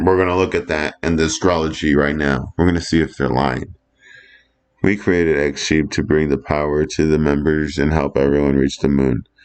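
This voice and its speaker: A man with a very deep, low pitch, moderate pace, fairly even intonation and very even loudness. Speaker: astrology and crypto video creator. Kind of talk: casual commentary. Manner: halting, self-interrupting.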